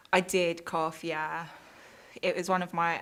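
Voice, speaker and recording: Monotone, flat intonation in a British accent. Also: woman. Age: 20s. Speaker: interviewee. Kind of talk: interview.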